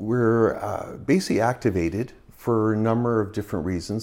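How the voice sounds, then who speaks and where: Spoken at a fairly quick pace with a Canadian accent, an unremarkable speaking voice comes through on a very clean recording with a silent background. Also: man. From British Columbia, Canada (Burnaby). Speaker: paramedic. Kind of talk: interview.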